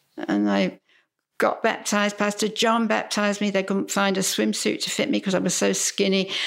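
Delivered at a fairly quick pace with a Cockney accent, the speech holds a very even loudness on a very clean recording with a silent background. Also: woman. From London, England. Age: 90s. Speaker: churchgoer sharing faith story. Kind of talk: testimony. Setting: at a house.

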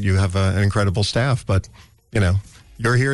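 In an unremarkable speaking voice with an American accent, the speaker moves at a fairly quick pace with ordinary pitch variation. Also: man. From New York City (the Bronx). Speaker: radio host. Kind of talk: casual chat.

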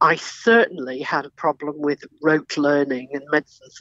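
A woman with an Australian accent speaks at a moderate pace in a very deep, low pitch, her voice dry and close with no echo. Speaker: doctor and former journalist. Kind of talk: interview.

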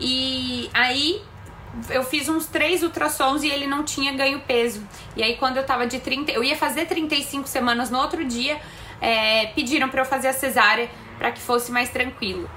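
Over noticeable background noise, the speaker uses a raised, projected voice with fairly even intonation. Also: woman, high pitch for a woman, moderate pace. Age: 30s. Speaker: mother of twins, personal trainer. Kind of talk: recorded testimony.

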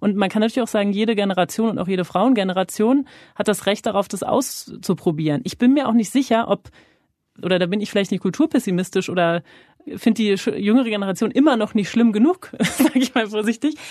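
Her voice has a dark, mellow tone and a fairly high pitch. The woman talks at a very fast pace. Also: ordinary pitch variation. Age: 30s. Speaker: journalist interviewer. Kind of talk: interview. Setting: podcast studio.

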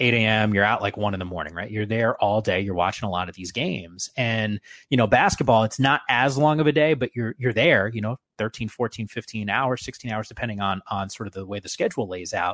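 A man with a plain, everyday voice, medium pitch and ordinary pitch variation at a fairly quick pace, in a dry, close sound with no echo and a quiet background. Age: 30s. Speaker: sports broadcaster. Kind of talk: casual interview.

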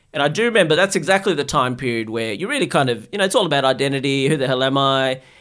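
Speaking with an Australian accent, a man uses a medium pitch and lively intonation. The recording is very clean, with a silent background. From Australia (Sydney), born in Bangladesh. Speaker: psychiatrist. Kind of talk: casual interview.

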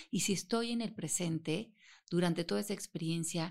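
An unremarkable speaking voice at a moderate pace with ordinary pitch variation, on a very clean recording with a silent background. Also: woman. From Mexico. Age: 50s. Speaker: author and self-knowledge teacher. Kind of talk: interview.

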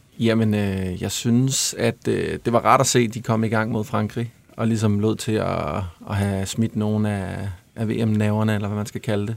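At a fairly slow pace, a man talks in a fairly low voice with monotone, flat intonation. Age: 30s. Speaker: songwriter and musician. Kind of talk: casual chat.

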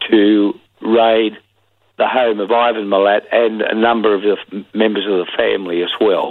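A man's medium-pitched voice with an Australian accent, monotone and flat, at a very slow pace. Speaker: former police detective. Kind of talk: interview. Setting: phone call.

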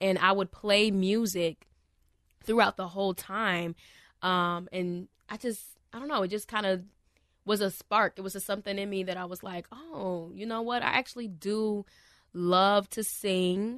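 A woman speaks in an unremarkable speaking voice at medium pitch, with fairly even intonation. Her pace is fairly slow, over a quiet background. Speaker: worship leader. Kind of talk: casual chat. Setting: studio.

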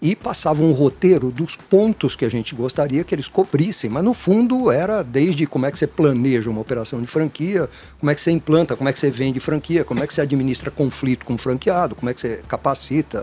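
A man with a dark, mellow tone and fairly high pitch talks at a fairly quick pace with lively intonation. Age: 60s. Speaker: franchising consultant. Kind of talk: interview. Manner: casual, repetitive stammering.

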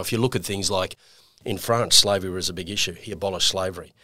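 In a very clean recording with a silent background, a man with an Australian accent talks very fast, his fairly low voice bright and sharp in tone. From Queensland, Australia. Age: 50s. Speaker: financial services executive. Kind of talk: casual interview.

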